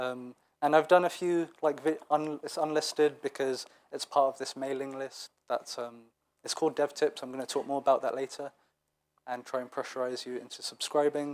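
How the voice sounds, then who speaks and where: Speaking at a moderate pace, a man with a fairly high pitch keeps a monotone, flat intonation while his loudness swings widely. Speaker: web developer, conference speaker. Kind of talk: conference talk. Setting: stage with audience. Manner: hesitant, many fillers.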